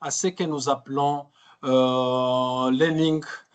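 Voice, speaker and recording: Over a quiet background, a man is talking. His pace is very slow. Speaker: trainer. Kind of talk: webinar training session. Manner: halting, many fillers and repetitions.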